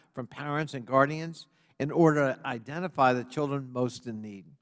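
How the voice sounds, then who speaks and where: In a very clean recording with a silent background, a man with an American accent and a normal speaking voice talks at a fairly quick pace, his pitch fairly high with ordinary variation. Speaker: congressional subcommittee chairman. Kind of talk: formal opening statement at a congressional hearing.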